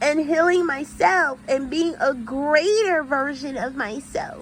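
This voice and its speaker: Over noticeable background noise, a woman speaks in an animated tone with lively intonation. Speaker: YouTuber and nurse. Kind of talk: casual vlog monologue.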